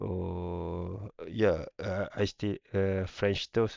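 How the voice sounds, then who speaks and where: A man with a Malaysian accent talks at a very slow pace, his fairly low voice held to fairly even intonation. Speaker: YouTuber. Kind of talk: casual vlog rant. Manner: halting, many fillers.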